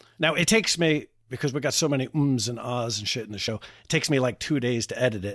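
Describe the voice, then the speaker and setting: The pace is fairly quick as a man talks. Ordinary variation shows in his pitch. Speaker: podcast host. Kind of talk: informal, profane. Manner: casual, conversational.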